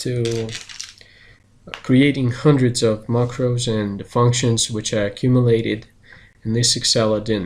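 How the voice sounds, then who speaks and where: This man speaks in a Russian accent with fairly even intonation. Long pauses come frequently. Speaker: search engine marketing specialist and software developer. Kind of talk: channel introduction.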